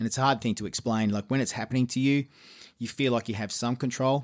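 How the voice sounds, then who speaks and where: Talking very fast with fairly even intonation, a man with an Australian accent is heard on a very clean recording with a silent background. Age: 50s. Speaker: musician and producer. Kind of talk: casual interview chat.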